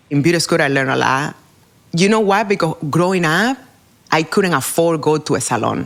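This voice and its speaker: A woman with a Spanish accent speaks at a fairly quick pace with a fairly low pitch and lively intonation. Her loudness stays very even. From Cuba. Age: 40s. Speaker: hairdresser and educator. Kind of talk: interview.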